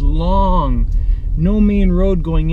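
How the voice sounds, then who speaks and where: A man is talking, and background noise is clearly noticeable. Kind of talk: casual vlog chat. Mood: mildly annoyed, venting. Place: car. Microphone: phone near.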